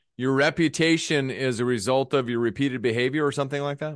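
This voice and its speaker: Against a quiet background, a man speaks fairly quickly at a medium pitch in a plain, everyday voice. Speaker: podcast host. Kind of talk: casual interview chat.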